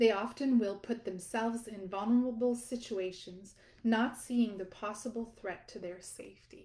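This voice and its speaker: Somewhat breathy and fairly high-pitched, a woman's voice carries a dark, mellow tone with fairly even intonation, a moderate pace and big swings in loudness. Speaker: audiobook author and narrator. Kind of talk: self-help audiobook excerpt reading.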